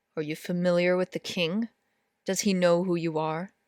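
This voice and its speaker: A put-on character voice comes across gruff and middle-pitched, with monotone, flat intonation at a moderate pace. The recording is very clean, with a silent background. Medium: read story. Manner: gruff, wary.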